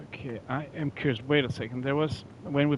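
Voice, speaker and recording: Speaking with a non-native accent, a man keeps his intonation fairly even. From Norway. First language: not English. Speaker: gaming streamer. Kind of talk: live gameplay commentary. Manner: halting, frequent repetitions and fillers.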